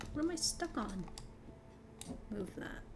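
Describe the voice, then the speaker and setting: With music in the background, a woman's voice carries audible room echo. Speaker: gaming youtuber. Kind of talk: casual gameplay commentary. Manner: relaxed, unscripted.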